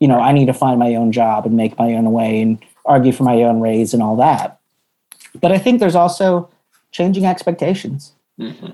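With an American accent, a man speaks fairly quickly at a medium pitch, his dark, mellow tone carrying lively intonation. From US South, Atlanta. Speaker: anthropologist and internal communications consultant. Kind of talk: casual interview.

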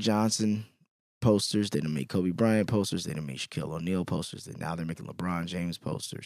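In a very clean recording with a silent background, a man with an American accent and a plain, everyday voice talks at a fairly quick pace, with ordinary pitch variation and big swings in loudness. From Chicago, US. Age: 30s. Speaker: podcast host. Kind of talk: casual interview chat.

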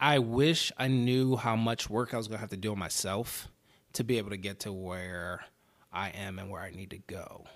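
The man's loudness swings widely as he speaks at a moderate pace. His pitch is fairly low, with ordinary variation. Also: very clean recording, silent background. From US, Baltimore, Maryland. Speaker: actor. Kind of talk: casual interview chat. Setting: podcast studio. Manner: mumbles a lot.

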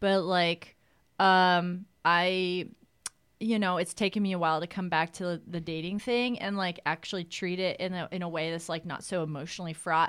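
A woman speaks with a fairly low pitch and fairly even intonation at a moderate pace, in an unremarkable speaking voice. The recording is very clean, with a silent background. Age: 30s. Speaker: actress. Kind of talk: casual chat.

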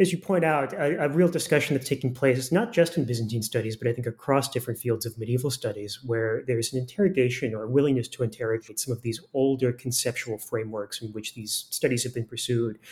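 On a very clean recording with a silent background, a man with an American accent talks at a very fast pace, his medium-pitched voice somewhat breathy and showing ordinary pitch variation. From Florida. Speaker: historian. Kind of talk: academic interview.

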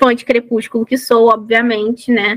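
Fairly high in pitch, a woman speaks at a moderate pace in a plain, everyday voice, the sound dry and close with no echo. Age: 20s. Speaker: author and science teacher. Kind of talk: casual chat.

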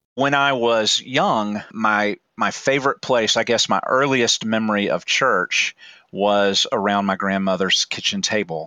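A man with an unremarkable speaking voice talks at a fairly slow pace and a fairly low pitch. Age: 40s. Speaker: church formation director and artist. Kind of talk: interview.

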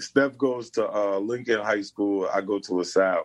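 A man in a New York accent talks with lively intonation against a quiet background. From New York City. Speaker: former basketball player and dribbling trainer. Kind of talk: casual interview chat. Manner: animated.

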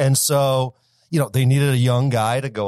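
On a very clean recording with a silent background, a man with an American accent speaks at medium pitch. His pace is moderate and his intonation fairly even. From Michigan, US (Detroit area). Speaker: marketing company founder. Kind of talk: interview.

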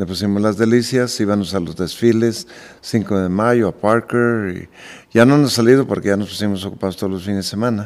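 Speaking at a fairly quick pace, a man with an ordinary speaking voice keeps a fairly low pitch and fairly even intonation. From Michoacán, Mexico. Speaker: charro team owner and restaurateur. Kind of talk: casual chat. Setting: at his home.

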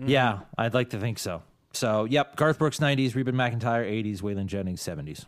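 A man with an ordinary speaking voice talks at a fairly quick pace. His medium pitch shows ordinary variation. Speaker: podcast host and trivia contestant. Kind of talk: casual banter in a trivia game. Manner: self-deprecating, joking.

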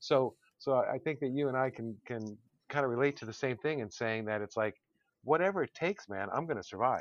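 A man with an American accent speaks at a fairly quick pace in an unremarkable speaking voice, his medium pitch moving with ordinary variation over a dry, close sound with no echo. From Connecticut, US. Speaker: podcast co-host. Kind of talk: casual chat. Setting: online recording session.

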